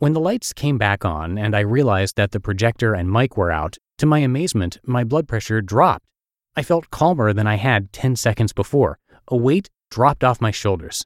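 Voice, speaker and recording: Dry and close with no echo over a silent background, this very clean recording has a man talking at a moderate pace with lively intonation in a plain, everyday voice. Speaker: podcast host and narrator. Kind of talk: reading blog posts aloud.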